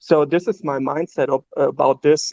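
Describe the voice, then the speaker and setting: A man's fairly high voice with a dark, mellow tone, monotone, flat intonation and a moderate pace, in a dry, close sound with no echo. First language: not English. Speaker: stake pool operator doing charity. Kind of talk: casual chat. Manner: halting, many fillers.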